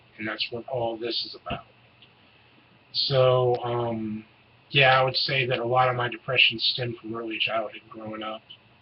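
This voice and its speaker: A man's flat, monotone delivery amid noticeable background noise. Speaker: vlogger. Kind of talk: personal vlog Q&A. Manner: hesitant, many fillers.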